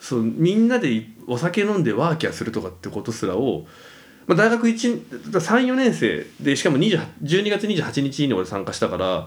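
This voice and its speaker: With vocal fry and very wide pitch swings, a man speaks at a fairly high pitch. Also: moderate pace. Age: 30s. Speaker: podcast co-host. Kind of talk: casual chat.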